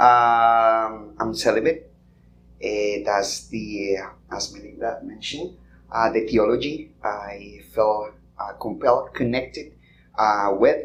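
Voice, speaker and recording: In a Colombian accent, a man talks at a very slow pace and medium pitch with ordinary pitch variation, with audible room echo around him. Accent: non-American accent, Colombian. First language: Spanish. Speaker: podcast guest. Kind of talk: live podcast conversation. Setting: conference stage with audience. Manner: halting, many fillers.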